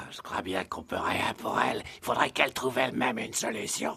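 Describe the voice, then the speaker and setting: A man speaks in a put-on character voice, raspy and at a medium pitch, moving at a fairly quick pace. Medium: fan dub. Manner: knowing, slightly mocking.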